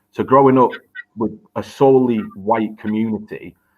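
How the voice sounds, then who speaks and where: In a northern English accent, a man speaks at a moderate pace with monotone, flat intonation. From northern England. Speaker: teacher. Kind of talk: educational discussion.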